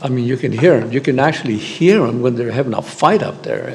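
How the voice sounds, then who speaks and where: Speech from a man amid noticeable background noise and audible echo off the room. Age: 70s. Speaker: public commenter at a school board meeting. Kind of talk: public comment. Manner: halting.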